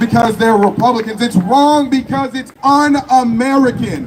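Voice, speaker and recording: A man with an animated tone at an extremely high pitch, with ordinary pitch variation, at a fairly slow pace, crowd noise in the background. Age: 20s. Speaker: political youth leader. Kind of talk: rally speech. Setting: outdoor rally stage with audience. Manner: loud, animated.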